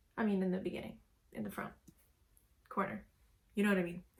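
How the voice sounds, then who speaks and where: A woman's somewhat breathy voice. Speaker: makeup tutorial creator. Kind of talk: casual makeup tutorial talk to camera. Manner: casual, friendly.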